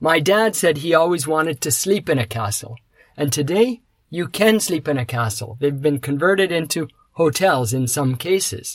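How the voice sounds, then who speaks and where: A somewhat breathy man with a Canadian accent, lively intonation and a moderate pace. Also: fairly high pitch for a man. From Canada. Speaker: podcast host. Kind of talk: scripted monologue for English learners.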